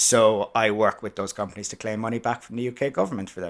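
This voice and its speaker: At a fairly quick pace, the speaker talks in a Cork accent over a very clean recording with a silent background. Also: man. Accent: Cork Irish. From Ireland, Cork City. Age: 30s. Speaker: podcast guest, tax manager. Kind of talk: casual interview chat.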